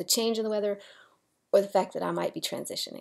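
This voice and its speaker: Recorded very cleanly over a silent background, a woman speaks with a fairly high pitch. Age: 40s. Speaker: transgender video blogger. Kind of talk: personal video diary. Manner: halting, with many fillers and repeats.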